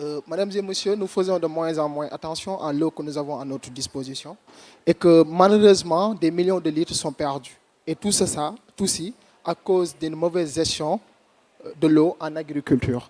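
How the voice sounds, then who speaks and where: With a strong Senegalese accent, a man talks at a fairly quick pace in a high pitch with ordinary pitch variation, the sound dry and close with no echo. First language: French or Wolof. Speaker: startup founder. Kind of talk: competition pitch.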